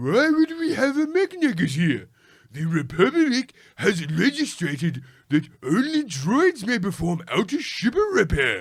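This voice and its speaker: A man's put-on character voice, high in pitch, fairly slow, with very wide pitch swings. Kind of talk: comic overacting. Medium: solo performance. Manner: mocking, exaggerated.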